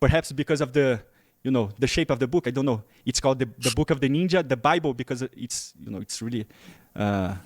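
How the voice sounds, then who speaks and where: Very fast speech comes with a Portuguese accent and ordinary pitch variation. The recording is very clean with a silent background, and the sound is dry and close with no echo. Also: man, medium pitch for a man. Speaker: interviewer. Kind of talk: interview.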